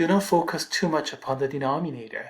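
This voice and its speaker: The speaker has a Korean accent and keeps a moderate pace. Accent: Korean accent, noticeable. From South Korea. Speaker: math instructor. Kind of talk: lecture.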